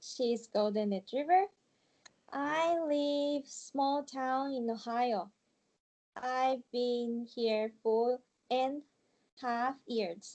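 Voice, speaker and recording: A woman's high-pitched voice with a Japanese accent and a dark, mellow tone, very slow with long, frequent pauses and ordinary pitch variation. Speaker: ESL student. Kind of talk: interview. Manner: halting.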